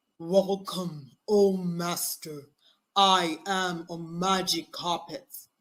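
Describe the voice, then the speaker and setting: A loud, put-on character voice at middle pitch, delivered at a very slow pace. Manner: grand, welcoming.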